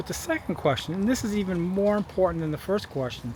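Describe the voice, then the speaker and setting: Male voice with ordinary pitch variation over noticeable background noise. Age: 60s. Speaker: video blogger on fossil fuel depletion. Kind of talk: casual vlog monologue. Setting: outdoors by a street.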